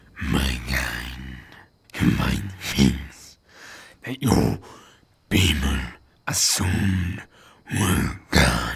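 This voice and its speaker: Growling in a put-on character voice of very deep, low pitch, a man speaks at a very slow pace with long, frequent pauses. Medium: read story. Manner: gruff, curt.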